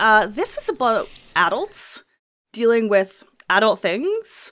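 Her pitch swings very widely in an animated tone. The woman is heard on a very clean recording with a silent background. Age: 30s. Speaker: podcast host. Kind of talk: casual chat.

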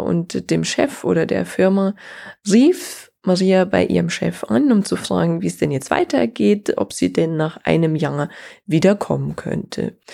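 A very clean recording with a silent background, featuring a woman speaking fairly slowly. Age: 30s. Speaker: podcast host and business consultant. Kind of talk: solo podcast monologue.

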